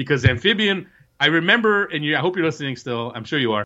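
Against a quiet background, a man with an American accent speaks at a fairly high pitch, his bright, sharp tone carried by lively intonation. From New Jersey. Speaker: soccer journalist and podcast co-host. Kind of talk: casual chat.

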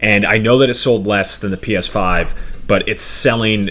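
A man's lively intonation, with noticeable background noise. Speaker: podcast host. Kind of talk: casual chat about video games.

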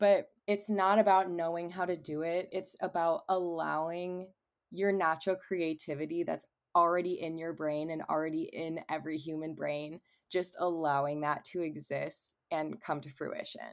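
Recorded very cleanly against a silent background, a woman with an American accent speaks at a moderate pace in a fairly low pitch with fairly even intonation. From Cleveland, Ohio. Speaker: singer-songwriter. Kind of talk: casual interview.

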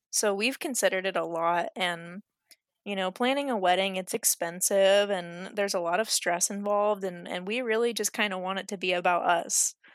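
A woman's plain, everyday voice at medium pitch and moderate pace, with fairly even intonation, dry and close with no echo, on a very clean recording with a silent background. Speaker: podcast guest, friend of host. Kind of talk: casual chat.

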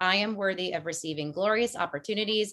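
A woman speaks in an American accent with a bright, sharp tone. Her intonation is lively. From US Northeast, Connecticut (Fairfield County). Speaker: energy coach. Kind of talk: casual interview. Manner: fast, with many fillers.

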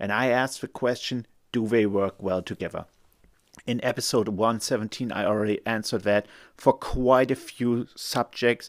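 A man with a German accent speaks with fairly even intonation in a very clean recording with a silent background and a dry, close sound with no echo. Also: medium pitch for a man, moderate pace. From Germany. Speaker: lawyer and podcast host. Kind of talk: solo podcast monologue. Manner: casual, friendly.

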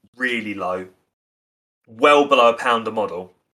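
Medium-pitched male speech with a bright, sharp tone, ordinary pitch variation and a moderate pace. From England, Essex (Basildon). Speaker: podcast host, miniature painter. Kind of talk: casual chat.

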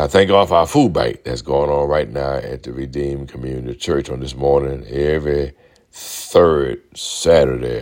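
A man with a Southern US accent, a very deep, low pitch, fairly even intonation and a moderate pace. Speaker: pastor. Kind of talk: sermon, preached radio message with call-and-response. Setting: radio broadcast.

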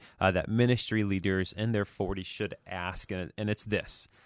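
Over a very clean recording with a silent background and a dry, close sound with no echo, a man uses an ordinary speaking voice at a moderate pace and a fairly low pitch. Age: 30s. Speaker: podcast co-host, ministry leader. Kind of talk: casual chat.

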